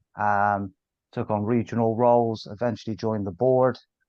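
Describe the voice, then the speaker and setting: A man with a Bristol accent, medium pitch and fairly even intonation. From Bristol, England. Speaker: sales director. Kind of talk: podcast interview.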